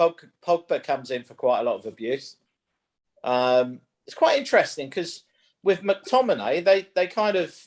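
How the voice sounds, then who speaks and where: Lively intonation marks this man's speech in a London accent. The recording is very clean, with a silent background. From London (Wembley). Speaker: golf coach, panelist. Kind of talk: panel discussion.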